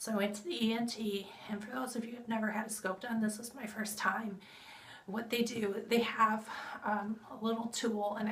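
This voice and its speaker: A woman speaks at a moderate pace with monotone, flat intonation, with audible room echo and noticeable background noise around her. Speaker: vlogger sharing health update. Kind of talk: casual vlog update. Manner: conversational, with fillers.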